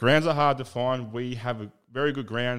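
A man with an Australian accent, talking at a fairly quick pace with fairly even intonation, in a very clean recording with a silent background. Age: 30s. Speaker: podcast host. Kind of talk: casual chat.

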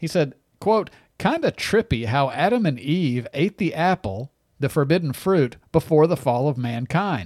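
The lively intonation comes at a fairly slow pace in a dry, close sound with no echo, in a very clean recording with a silent background. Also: man, fairly high pitch for a man. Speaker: conservative talk radio host. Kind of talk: talk radio monologue. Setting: radio studio. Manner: animated.

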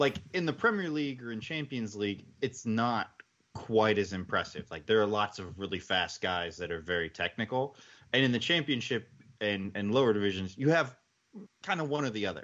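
Over a quiet background, a man with an ordinary speaking voice and fairly low pitch talks at a fairly quick pace with lively intonation. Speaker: football podcast panelist. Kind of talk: casual sports podcast chat.

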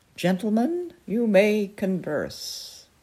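A female-sounding voice takes on a put-on character voice at medium pitch. The sound is nasal. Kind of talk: aristocratic.

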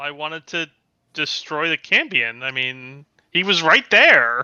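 Pitched low-to-middle, the put-on character voice unfolds fairly slowly. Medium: actual play. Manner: flippant, cocky.

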